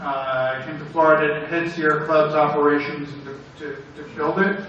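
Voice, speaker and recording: A man talks at a moderate pace with ordinary pitch variation. Audible room echo and noticeable background noise surround his voice. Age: 60s. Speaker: environmental group director. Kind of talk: conference panel talk. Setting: workshop with audience.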